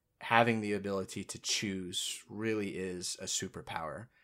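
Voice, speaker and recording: A man speaking with fairly even intonation, very clean recording, silent background. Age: 20s. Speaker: podcast host. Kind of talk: casual chat.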